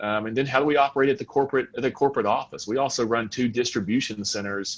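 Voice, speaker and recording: A man talks with a Southern US accent and fairly even intonation. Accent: Southern American. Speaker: fuel retail executive. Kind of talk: panel discussion.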